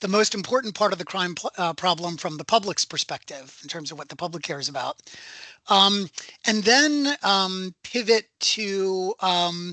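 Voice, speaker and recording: In a raised, projected voice with an American accent, a man speaks high-pitched and bright, sharp in tone, at a moderate pace, with a dry, close sound with no echo and a quiet background. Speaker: professor. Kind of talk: lecture. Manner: halting.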